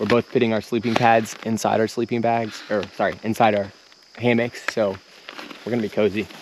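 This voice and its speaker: With noticeable background noise behind him, a man speaks at a fairly quick pace and medium pitch. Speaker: outdoor vlogger. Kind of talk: casual chat. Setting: outdoors. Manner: fast.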